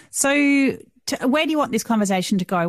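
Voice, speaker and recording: A woman with an Australian accent talks at a moderate pace with lively intonation. The background is quiet. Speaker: podcast host. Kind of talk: interview.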